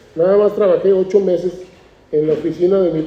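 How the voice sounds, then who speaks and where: Speaking at a fairly quick pace, a man uses a high pitch and fairly even intonation. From Mexico, Tijuana (Baja California border). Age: 60s. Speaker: artist. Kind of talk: interview at a book presentation.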